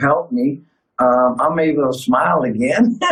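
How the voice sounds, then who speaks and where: A man with fairly even intonation over music in the background. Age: 60s. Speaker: clinic patient. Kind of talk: testimony.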